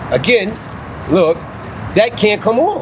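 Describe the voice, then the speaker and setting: A high-pitched man speaks at a moderate pace against noticeable background noise. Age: 70s. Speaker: veteran. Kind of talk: street interview.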